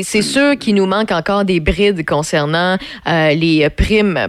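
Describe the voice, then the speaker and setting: A woman with a Quebec accent talks at a medium pitch with ordinary pitch variation. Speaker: radio host. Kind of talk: casual radio chat. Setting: radio studio.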